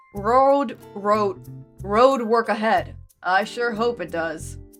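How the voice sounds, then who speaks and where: Over faint background music, a woman puts on a gruff character voice, fairly high in pitch and very slow. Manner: calm, gruff.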